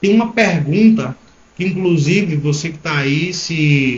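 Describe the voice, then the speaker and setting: The speaker is a man with a somewhat breathy voice. He talks at a fairly slow pace. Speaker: entrepreneur. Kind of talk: live stream talk to viewers. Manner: hesitant, stammering.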